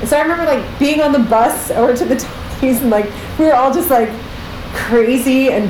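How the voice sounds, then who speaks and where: Noticeable background noise sits behind a woman speaking in an animated tone. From Canada, Pickering near Toronto. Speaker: Broadway performer and choreographer. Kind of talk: casual interview chat.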